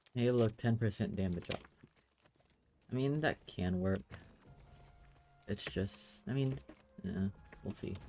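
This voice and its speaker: With music in the background, a quiet man at a fairly low pitch speaks with ordinary pitch variation and long, frequent pauses. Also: fairly slow pace. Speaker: gaming streamer. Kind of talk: live gameplay commentary.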